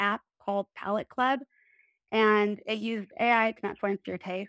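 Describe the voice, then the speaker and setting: A woman with a Midwestern accent and a fairly high voice is recorded very cleanly against a silent background, with a dry, close sound and no echo. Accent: general American, Midwestern. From US Midwest, Illinois. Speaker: expat living in France.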